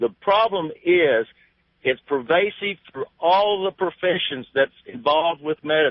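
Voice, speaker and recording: This man's voice sits high in pitch. He speaks at a moderate pace with lively intonation. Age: 60s. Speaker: retired physician, caller. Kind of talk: call-in talk radio.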